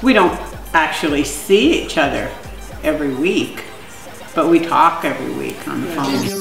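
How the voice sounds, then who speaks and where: Clear music plays behind a woman who talks at a moderate pace with audible room echo. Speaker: interviewee. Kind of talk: interview answer. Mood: relaxed, joking. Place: home room. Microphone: camera far.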